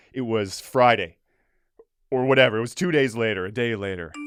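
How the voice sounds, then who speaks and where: A man speaks loudly in an animated tone. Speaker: podcast co-host. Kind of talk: casual chat.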